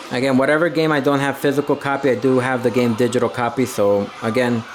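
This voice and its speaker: Fairly quick speech with fairly even intonation plays over noticeable background noise. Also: man. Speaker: YouTuber. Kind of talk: casual tour vlog. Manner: fast; hesitant fillers.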